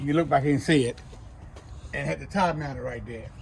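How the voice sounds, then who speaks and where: A man speaks at a very fast pace. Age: 60s. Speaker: junk removal worker. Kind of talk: equipment walkthrough. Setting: outdoors. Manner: casual, blunt.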